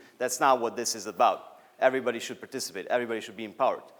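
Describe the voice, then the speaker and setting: The speaker is a man with a medium pitch. He talks at a very fast pace. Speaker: student organization coordinator. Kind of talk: Q&A; conference talk. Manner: loud.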